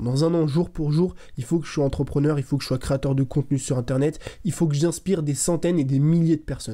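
A man's fairly high-pitched voice with a dark, mellow tone and fairly even intonation, at a fairly quick pace over a quiet background. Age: 20s. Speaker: content creator, motivational youtuber. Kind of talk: motivational monologue to camera. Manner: casual, direct. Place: home room. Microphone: studio mic.

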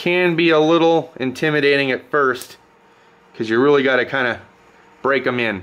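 Ordinary pitch variation marks a man's speech at a moderate pace. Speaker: home mechanic reviewing tools. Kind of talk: tool review commentary.

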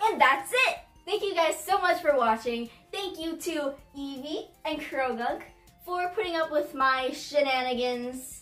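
Over faint background music, someone uses a high-pitched, put-on character voice at a moderate pace. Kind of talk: amateur comic skit acting. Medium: comedy sketch. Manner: chirpy, bubbly.

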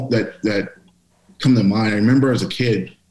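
A man with an American accent, medium in pitch, with audible room echo. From Pittsburgh, Pennsylvania. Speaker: author and diversity speaker; speaker. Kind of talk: interview. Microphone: video call.

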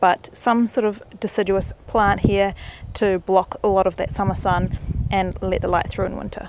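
A woman speaks at a moderate pace in a flat monotone, the sound dry with no echo and noticeable background noise behind her. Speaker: home gardener vlogger. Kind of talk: casual vlog chat. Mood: cheerful, chatty. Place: garden. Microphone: phone near.

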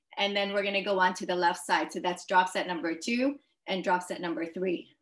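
Her pitch varies in an ordinary way. A woman speaks against a quiet background. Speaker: fitness instructor. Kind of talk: workout class instructions. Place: garage. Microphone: video call.

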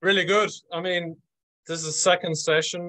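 Bright and sharp in tone, a man speaks at a moderate pace against a quiet background. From Dublin, Ireland. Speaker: event co-host. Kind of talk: host introduction on webinar. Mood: upbeat, welcoming. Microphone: video call.

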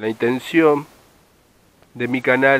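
A man's bright, sharp voice at a very slow pace, fairly even in intonation, with a dry sound and no echo. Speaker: fishing vlogger. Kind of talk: casual vlog chat. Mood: reflective, nostalgic. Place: waterside. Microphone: phone near.

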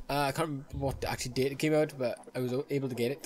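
The speech moves at a fast pace with a slightly mellow tone. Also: man.

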